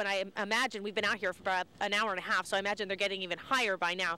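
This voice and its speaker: The woman's tone is bright and sharp. She talks at a very fast pace. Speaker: TV news reporter. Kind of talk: live field report to anchors in a winter storm. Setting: outdoors in cold wind. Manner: conversational, chatty.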